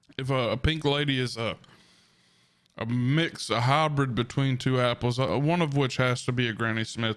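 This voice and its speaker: A man speaks in a Southern US accent, his pitch fairly high. His intonation stays fairly even at a moderate pace. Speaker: food reviewer, ASMR eater. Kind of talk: food review, casual talk to camera.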